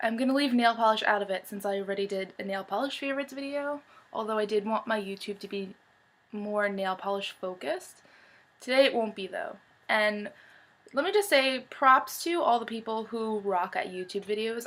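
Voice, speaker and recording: A woman at a fairly quick pace with ordinary pitch variation. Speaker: beauty vlogger. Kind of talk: casual chat. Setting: home bedroom. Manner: fast.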